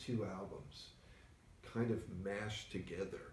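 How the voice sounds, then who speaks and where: A man speaks in a dark, mellow tone that is somewhat breathy, with audible room echo around him. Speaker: record store owner and show host. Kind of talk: casual chat. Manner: soft-spoken, doesn't project.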